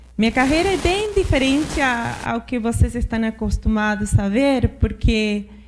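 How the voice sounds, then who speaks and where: The voice belongs to a woman with a high pitch. She speaks at a moderate pace. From Argentina, interior. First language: Spanish (speaking Portuguese). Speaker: finance executive. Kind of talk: panel discussion. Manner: halting, with false starts.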